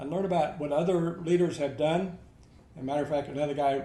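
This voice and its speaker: A man's fairly high voice comes through somewhat breathy. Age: 80s+. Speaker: army veteran. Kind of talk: interview answer.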